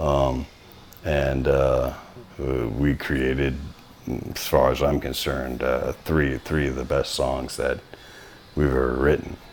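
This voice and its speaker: Against noticeable background noise, a man with a very deep, low pitch speaks in a monotone, flat intonation at a very slow pace with long, frequent pauses. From Louisiana, North Shore. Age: 40s. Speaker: metal band singer and guitarist, tattoo artist. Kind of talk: casual interview chat.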